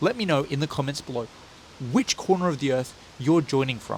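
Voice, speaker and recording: Fairly high in pitch, a man talks at a fairly quick pace. He has an Australian accent. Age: 30s. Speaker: running vlogger. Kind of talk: vlog. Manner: animated.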